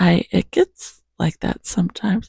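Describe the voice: The voice moves at a fairly slow pace with big pitch swings, a husky, rough edge and vocal fry. Its tone is dark and mellow, and the sound is dry and close with no echo. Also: woman, fairly low pitch for a woman.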